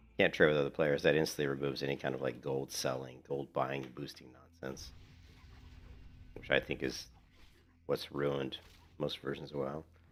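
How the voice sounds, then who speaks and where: In a very deep, low voice with vocal fry, a man speaks in a monotone, flat way, leaving long, frequent pauses. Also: moderate pace. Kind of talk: casual chat. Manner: casual, conversational.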